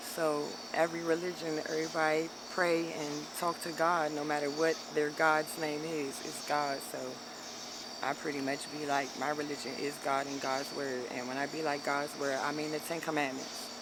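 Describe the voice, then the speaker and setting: An American accent at a moderate pace over noticeable background noise. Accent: sounds southern to people from up north. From DMV area (Maryland near DC and Virginia). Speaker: interviewee on the street. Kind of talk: casual street interview.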